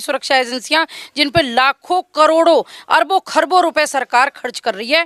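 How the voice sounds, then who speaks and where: With a slight Haryanvi accent, a woman speaks in a bright, sharp tone in a very clean recording with a silent background. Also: dry, close sound with no echo. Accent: slight Haryanvi tinge. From Haryana, India. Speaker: local resident interviewed. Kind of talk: street interview.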